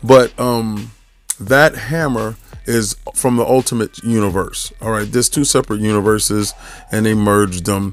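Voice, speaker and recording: A man with a New York accent, fairly low pitch, fairly even intonation and a moderate pace. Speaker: podcast host, statue collector. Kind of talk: casual video review monologue. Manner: casual, many fillers and restarts.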